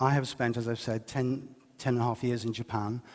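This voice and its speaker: He is a man speaking with an English accent. His pitch is medium and his pace moderate. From England, West Midlands. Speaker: lecturer and writer. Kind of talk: public lecture.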